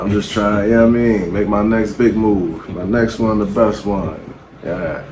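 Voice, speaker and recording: With audible room echo and noticeable background noise, a man speaks at a moderate pace in a fairly low voice with fairly even intonation. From Baltimore, Maryland, US. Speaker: battle rapper. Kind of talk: interview. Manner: quiet.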